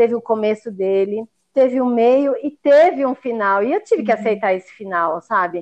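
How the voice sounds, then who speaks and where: An ordinary speaking voice, this woman talks at a fairly high pitch and a moderate pace. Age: 40s. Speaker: chef and sweets business owner. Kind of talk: casual interview chat. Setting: remote recording in separate rooms.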